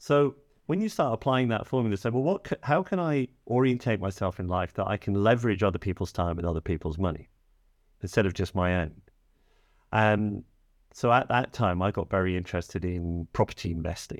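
A man with an English accent, fairly low-pitched and fairly quick, with ordinary pitch variation, in a very clean recording against a silent background. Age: 50s. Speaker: financial coach. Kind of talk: casual chat.

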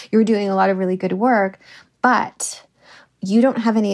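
In a normal speaking voice, a woman with a Canadian accent talks at a medium pitch and a moderate pace. Her intonation is fairly even, and the recording is very clean with a silent background. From Canada. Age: 40s. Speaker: novelist. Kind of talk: interview.

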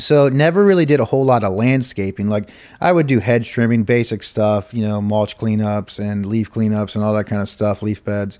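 An ordinary speaking voice with ordinary pitch variation moves at a moderate pace with hardly any pauses. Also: man, fairly low pitch for a man. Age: 30s. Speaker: lawn care operator and online group founder. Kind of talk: casual interview. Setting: trade show.

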